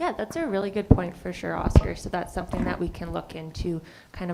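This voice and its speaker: A woman with a fairly low pitch talks at a very fast pace over noticeable background noise. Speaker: municipal agricultural staff reporting to council. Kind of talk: council meeting report.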